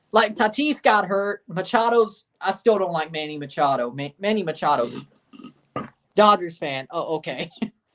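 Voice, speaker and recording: Speaking with a Southern US accent, a woman uses a medium pitch, an animated tone and very wide pitch swings. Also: moderate pace. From Nashville, Tennessee (US South). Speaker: sports streamer. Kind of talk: live watchalong commentary. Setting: livestream.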